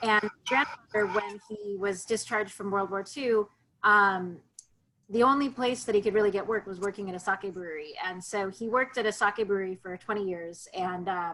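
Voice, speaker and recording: A woman with an American accent speaks at a moderate pace in a medium pitch, her bright, sharp tone showing ordinary pitch variation on a very clean recording with a silent background. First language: Japanese. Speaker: sake importer and educator. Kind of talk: virtual tasting presentation. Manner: casual, with frequent fillers.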